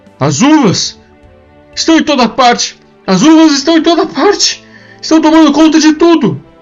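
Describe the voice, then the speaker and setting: A put-on character voice moves at a moderate pace with long, frequent pauses. Faint music plays in the background. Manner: shouting, panicked.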